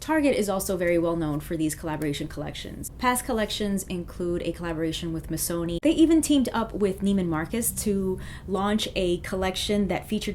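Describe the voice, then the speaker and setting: At a fairly quick pace, a woman talks with ordinary pitch variation amid noticeable background noise. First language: not French; English speaker. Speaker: fashion YouTuber. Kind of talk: vlog commentary.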